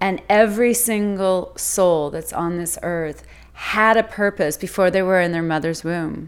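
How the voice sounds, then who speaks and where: Speaking fairly slowly in an unremarkable speaking voice, the woman keeps a medium pitch that varies in an ordinary way. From Mexico City, then Vancouver, Canada from age ten. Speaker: life coach. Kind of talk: interview, personal testimony.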